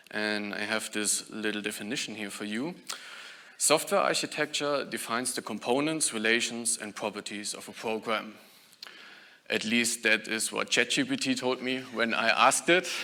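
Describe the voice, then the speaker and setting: A man with a German accent speaks at a moderate pace in a medium pitch, with a bright, sharp tone and ordinary pitch variation. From Germany. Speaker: software engineer, conference speaker. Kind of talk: conference talk.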